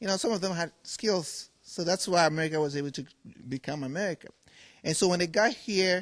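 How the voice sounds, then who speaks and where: Against a quiet background, a man with a Ghanaian accent talks at a fairly quick pace and a high pitch, with ordinary pitch variation. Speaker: furniture maker. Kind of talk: TV interview.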